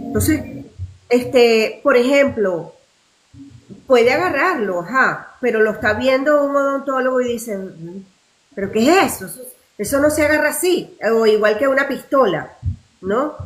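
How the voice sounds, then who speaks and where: At a fairly slow pace, a woman with a high pitch speaks with big swings in loudness and long, frequent pauses. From Venezuela. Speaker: actress. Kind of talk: interview answer.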